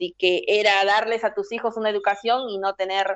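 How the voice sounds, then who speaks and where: In a normal speaking voice, a woman speaks at a fairly slow pace with a medium pitch. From Peru, Trujillo (La Libertad). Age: 40s. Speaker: political activist. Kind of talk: interview.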